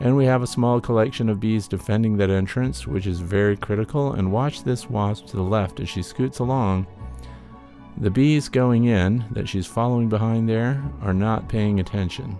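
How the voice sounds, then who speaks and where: A man's fairly low voice over background music. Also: ordinary pitch variation, moderate pace. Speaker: beekeeper. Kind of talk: narrated educational video update.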